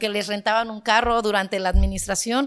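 Talking at a fairly quick pace, a woman with a fairly high pitch keeps a monotone, flat intonation on a very clean recording with a silent background. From Guerrero, Mexico (Sierra Baja). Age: 30s. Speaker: local political candidate. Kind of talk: podcast interview.

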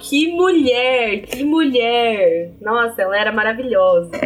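Over noticeable background noise, a woman with a fairly high pitch speaks fairly slowly with lively intonation. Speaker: university student podcast co-host. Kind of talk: casual chat.

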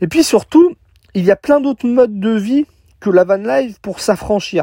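Speaking at a moderate pace, a man has a dark, mellow tone with ordinary pitch variation. The recording is very clean, with a silent background and a dry, close sound with no echo. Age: 30s. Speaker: podcaster, van-life nomad. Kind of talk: solo podcast monologue. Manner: casual, with many fillers.

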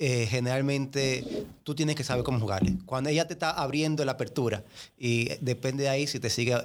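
With a normal speaking voice, a man talks at a moderate pace and medium pitch, showing ordinary pitch variation. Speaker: podcast guest. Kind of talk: casual chat. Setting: studio. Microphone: close to the mic.

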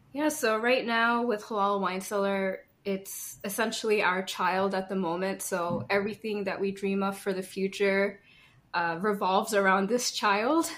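An unremarkable speaking voice from a woman, medium in pitch, at a moderate pace with ordinary pitch variation, on a very clean recording with a silent background. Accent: American. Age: 30s. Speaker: small business owner. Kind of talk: casual interview.

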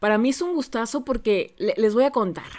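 The speaker is a woman with a Mexican accent. Her intonation is lively. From Mexico, Xalapa, Veracruz. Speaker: podcast host, voice-over announcer. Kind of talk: casual interview. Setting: video call.

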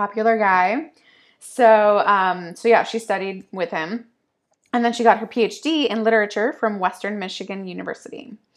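A woman with an American accent talks at a moderate pace in a plain, everyday voice, medium in pitch with ordinary pitch variation. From upstate New York. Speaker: poetry podcast co-host. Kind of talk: casual chat; reading aloud.

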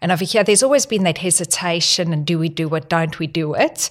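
This woman has a fairly low pitch and a South African accent, speaking at a moderate pace. The recording is very clean, with a silent background. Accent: non-Australian, South African. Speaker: health technology executive. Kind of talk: podcast interview.

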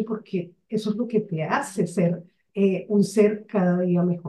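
Speaking at a very slow pace, a woman uses a somewhat breathy, medium-pitched voice with fairly even intonation. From Colombia, Barranquilla (Caribbean coast). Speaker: mentor, author and business consultant. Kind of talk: interview.

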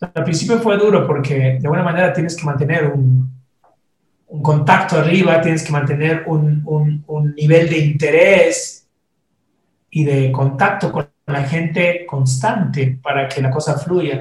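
Fairly slow, fairly even speech from a man. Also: fairly high pitch for a man. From Ecuador. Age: 50s. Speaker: singer-songwriter. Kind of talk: interview conversation. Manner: halting, with frequent repetitions.

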